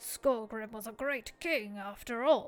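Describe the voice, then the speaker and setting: A put-on character voice at a fairly slow pace. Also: female-sounding voice. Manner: haughty.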